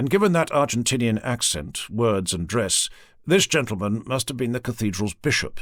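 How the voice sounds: A natural reading voice delivers the lines with lively intonation.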